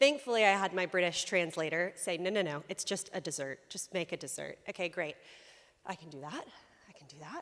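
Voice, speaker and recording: A woman with a Southern US accent speaks at a moderate pace with lively intonation on a very clean recording with a silent background. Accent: American Southern. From US South, South Carolina. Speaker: lay preacher. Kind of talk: sermon. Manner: conversational with many fillers.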